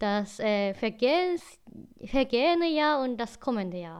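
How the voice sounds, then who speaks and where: This woman's voice sits at a fairly high pitch. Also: quiet background. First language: Japanese (speaking German). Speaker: podcast co-host. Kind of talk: casual chat. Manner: halting, non-native phrasing.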